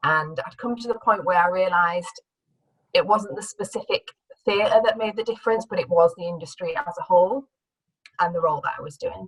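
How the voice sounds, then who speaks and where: A woman with a northern English accent talks fairly quickly, her pitch varying in an ordinary way. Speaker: career change speaker, former theatre producer. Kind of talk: talk to an audience. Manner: hesitant, with fillers and restarts.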